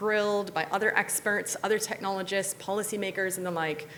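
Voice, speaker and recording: A woman with an American accent speaks at a fairly quick pace and a medium pitch, with noticeable background noise. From US Midwest, near Chicago. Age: 40s. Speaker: technology researcher and speaker. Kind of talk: motivational talk to students. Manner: animated.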